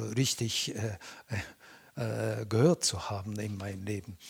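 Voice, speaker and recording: A man speaks at a very slow pace with a medium pitch and a somewhat breathy voice. The sound is dry and close, with no echo. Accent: Japanese. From Japan. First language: Japanese (speaking German). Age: 70s. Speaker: Butoh dancer. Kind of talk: interview. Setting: at his home. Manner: halting.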